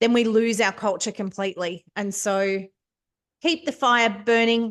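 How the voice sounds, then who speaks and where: Speaking with an Australian accent, a woman talks at a fairly slow pace in a fairly high pitch with ordinary variation, over a quiet background. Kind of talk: facilitating a club meeting. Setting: meeting room with online participants, microphone. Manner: teacher-like projecting voice; soft without microphone.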